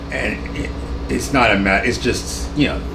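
Over noticeable background noise, the speaker moves at a moderate pace with very wide pitch swings. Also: man. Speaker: jazz pianist and composer. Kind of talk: casual interview. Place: home room.

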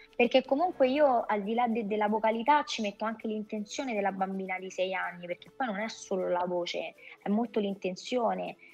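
Fairly high-pitched female speech at a fairly quick pace, with ordinary pitch variation and faint music in the background. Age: 40s. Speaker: voice actress. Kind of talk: casual interview chat. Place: home room. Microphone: video call.

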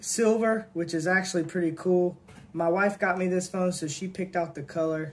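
Delivery comes at a moderate speed. The voice shows ordinary shifts in pitch. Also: man. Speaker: product reviewer. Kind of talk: casual unboxing review. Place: home room. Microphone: phone near.

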